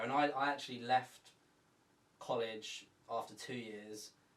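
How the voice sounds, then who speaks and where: With an English accent, a man speaks at a medium pitch against noticeable background noise. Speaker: podcast co-host. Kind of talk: casual chat.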